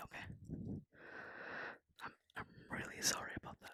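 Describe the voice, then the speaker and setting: A man whispers at a moderate pace, recorded with a dry, close sound and no echo. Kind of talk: ASMR whispered roleplay confession to a friend. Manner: soft-spoken, whispering, hesitant.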